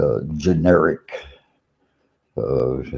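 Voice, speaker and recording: A man with an American accent speaks at a very slow pace, his pitch very deep and low. The tone is dark and mellow, with vocal fry. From Virginia, US. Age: 80s+. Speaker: vlogger. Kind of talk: monologue. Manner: halting.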